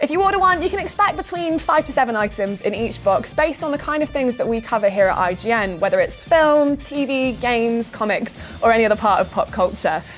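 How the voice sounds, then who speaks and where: The speech moves at a very fast pace with very wide pitch swings. Music plays in the background. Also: woman. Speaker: gaming presenter. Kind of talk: news show presenting to camera.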